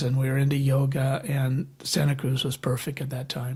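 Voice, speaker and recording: Over noticeable background noise, a man with an American accent and fairly high pitch speaks at a fairly slow pace with monotone, flat intonation. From US Midwest, Michigan. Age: 70s. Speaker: birder. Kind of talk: casual interview chat. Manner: halting, many fillers.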